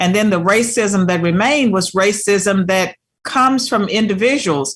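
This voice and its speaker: A woman with an American accent uses a plain, everyday voice at medium pitch, a fairly slow pace and ordinary pitch variation. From Virginia, US South. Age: 60s. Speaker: talk show host. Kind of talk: interview.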